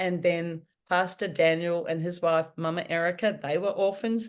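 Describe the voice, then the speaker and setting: A woman with a New Zealand accent, fairly low in pitch, at a fairly slow pace and with fairly even intonation. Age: 60s. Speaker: author. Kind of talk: podcast interview answer.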